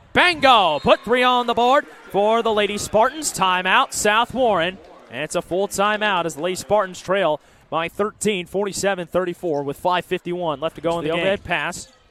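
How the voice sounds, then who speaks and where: An energetic, high-pitched man's voice, dry and close with no echo, over noticeable background noise. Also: lively intonation. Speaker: play-by-play sports broadcaster. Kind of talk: live basketball play-by-play call. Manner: fast, energetic.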